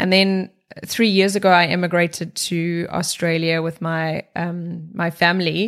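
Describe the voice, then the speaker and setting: With a South African accent, a woman talks fairly slowly at a fairly low pitch in a monotone, flat intonation. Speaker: corporate wellbeing executive. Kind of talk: interview.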